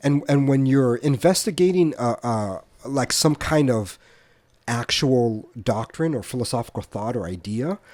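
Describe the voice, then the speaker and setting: The delivery is fairly slow, with lively intonation. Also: man, medium pitch for a man. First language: Spanish. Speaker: podcast co-host. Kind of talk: casual discussion. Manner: halting, many repeated words.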